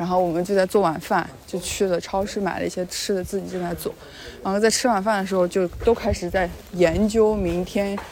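The speaker delivers lines at a fairly quick pace in a monotone, flat intonation, with noticeable background noise. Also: woman, medium pitch for a woman. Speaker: travel vlogger. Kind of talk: casual vlog narration.

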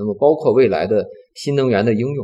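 A man's dark, mellow voice with vocal fry, at a moderate pace. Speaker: semiconductor company executive. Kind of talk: interview. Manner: calm, gentle.

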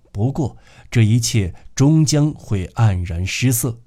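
With lively intonation, this is a natural reading voice.

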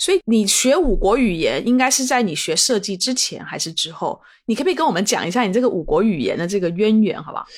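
A woman at a fairly high pitch, very fast pace and very wide pitch swings with hardly any pauses, on a very clean recording with a silent background. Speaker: podcast host. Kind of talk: casual interview chat.

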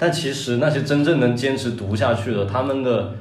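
Noticeable background noise and audible room echo fill the clip. A man talks at medium pitch with ordinary pitch variation. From Guangdong, China. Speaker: comedy writer. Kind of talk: casual chat.

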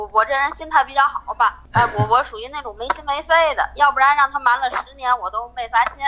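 The speaker talks at a fairly quick pace with big swings in loudness and ordinary pitch variation. Music plays in the background. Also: woman, high pitch for a woman. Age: 40s. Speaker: caller sharing her marriage story. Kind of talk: personal testimony. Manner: halting, repetitive.

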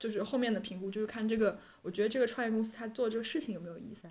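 Very fast speech from a woman, fairly high in pitch and fairly even in intonation. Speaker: graduate student job seeker. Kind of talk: casual chat.

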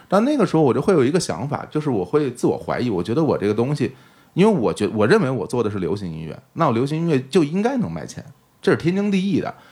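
A man talks at a very fast pace, his fairly high pitch swinging very widely. His dark, mellow tone carries vocal fry on a very clean recording with a silent background. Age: middle-aged. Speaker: podcast host and stage performer. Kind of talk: casual interview chat.

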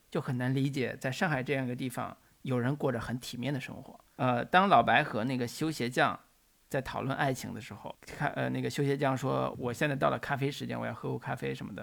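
Vocal fry at a fairly quick pace with ordinary pitch variation, on a very clean recording with a silent background. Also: man. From northern China. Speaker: film podcast host. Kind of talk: casual chat.

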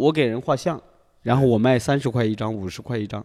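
On a very clean recording with a silent background, a man speaks with a strong Hunan accent. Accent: strong Hunan accent in Mandarin. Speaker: young artist. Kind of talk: casual chat.

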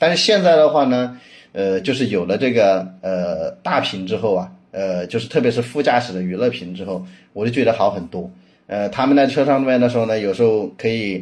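Intonation here is lively. The pace stays moderate. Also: man, medium pitch for a man. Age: 30s. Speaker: car owner, data company product lead. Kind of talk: casual chat. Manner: halting, many fillers.

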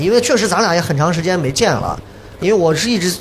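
A man with a high pitch talks at a very fast pace with lively intonation against noticeable background noise. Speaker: podcast host and former TV host. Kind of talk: live podcast recording, casual chat. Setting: stage with live audience.

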